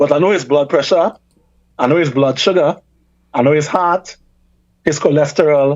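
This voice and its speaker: In a Trinidadian accent, a man with a fairly high pitch speaks with fairly even intonation and very even loudness, leaving long, frequent pauses. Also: moderate pace. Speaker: reparations campaigner and academic. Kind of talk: radio talk show interview.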